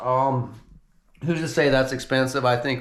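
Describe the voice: A man speaks at a medium pitch. His tone is fairly bright.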